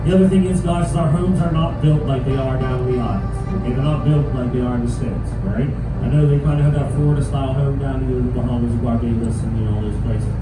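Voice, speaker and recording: With clear music in the background and an audible room echo, a man speaks at a very fast pace with hardly any pauses. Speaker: boat tour guide. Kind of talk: tour guide commentary. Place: boat. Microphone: camera far.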